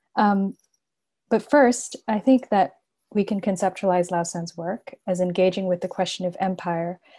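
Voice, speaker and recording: A woman speaks at a moderate pace in a dark, mellow tone, recorded very cleanly against a silent background. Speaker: panelist from a media collective. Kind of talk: conference panel talk. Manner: speaking quietly.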